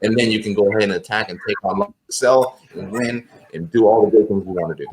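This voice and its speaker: In an American accent, a man with a fairly low pitch and an ordinary speaking voice talks at a fairly quick pace. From Los Angeles, California. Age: 30s. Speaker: army veteran. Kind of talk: interview answer.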